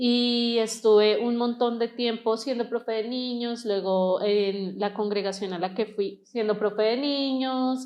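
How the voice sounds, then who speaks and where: A woman with a plain, everyday voice talks at a fairly slow pace in fairly even intonation, with hardly any pauses. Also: fairly high pitch for a woman. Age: 30s. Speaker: interview guest sharing church experience. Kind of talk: testimony.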